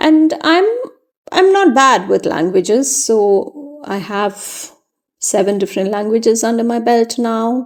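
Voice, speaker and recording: Fairly slow pace from a woman with a fairly high pitch. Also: lively intonation. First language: Malayalam. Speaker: journaling youtuber. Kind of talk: tutorial voiceover. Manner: casual, with frequent fillers.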